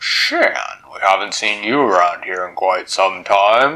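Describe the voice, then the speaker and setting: A man's put-on character voice at a fairly low pitch and a fairly slow pace. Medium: read story.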